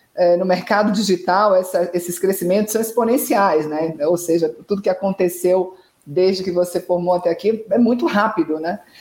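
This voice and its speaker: At a moderate pace with hardly any pauses, a woman of medium pitch talks in an unremarkable speaking voice with ordinary pitch variation. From Brazil, Salvador. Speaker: communications consultant acting as interviewer. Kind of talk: interview. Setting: live online stream.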